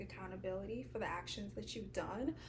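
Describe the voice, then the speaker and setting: Over noticeable background noise and audible room echo, a woman speaks softly. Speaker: lifestyle vlogger. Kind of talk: casual advice talk to camera. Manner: soft-spoken.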